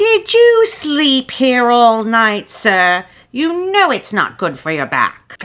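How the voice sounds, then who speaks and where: This female-sounding voice is a cartoonish character voice pitched high for a woman. It moves at a very slow pace. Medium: puppet.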